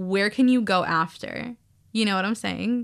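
With a normal speaking voice, a woman talks at a moderate pace, her medium pitch following fairly even intonation. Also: quiet background. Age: 20s. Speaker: student podcast co-host. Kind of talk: casual chat. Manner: filler-heavy, lots of um and like.

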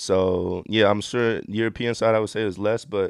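Using a normal speaking voice, a man with an American accent speaks at a moderate pace, fairly low and fairly even in intonation. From Miami, Florida, US. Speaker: professional basketball player. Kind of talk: casual interview. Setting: studio.

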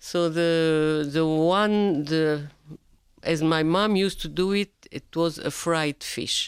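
At a very slow pace, a woman speaks in a fairly low voice with fairly even intonation, on a very clean recording with a silent background. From Lebanon, Sidon. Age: 80s+. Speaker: grandmother. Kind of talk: interview. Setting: studio. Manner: halting.

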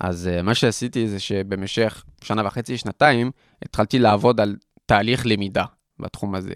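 Fairly even intonation at a fairly slow pace, with a dry, close sound, no echo, and a quiet background. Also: man, fairly low pitch for a man. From France (Paris). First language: French (speaking Hebrew). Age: 20s. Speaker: student entrepreneur, nonprofit CEO. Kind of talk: interview conversation. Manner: hesitant, many fillers.

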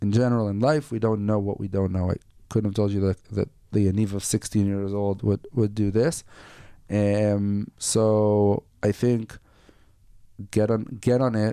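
With an Israeli accent, a man speaks at a fairly slow pace in a fairly low pitch, his tone dark and mellow and his intonation fairly even. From northern Israel. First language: Hebrew. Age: 40s. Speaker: entrepreneur. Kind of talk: interview. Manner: halting.

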